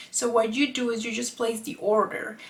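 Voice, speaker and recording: Speaking with a non-native accent, a woman uses a fairly high pitch. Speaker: artist and YouTuber; YouTuber. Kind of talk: casual vlog explanation. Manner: occasionally halting over words. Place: home room.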